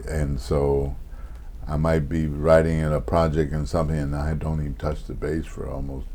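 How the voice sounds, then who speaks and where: There is audible room echo as a man with a very deep, low voice talks at a moderate pace with fairly even intonation. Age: 70s. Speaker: jazz bassist and composer. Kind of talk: interview. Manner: halting.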